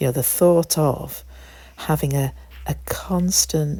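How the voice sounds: A woman's dark, mellow voice with vocal fry, fairly even intonation and a moderate pace.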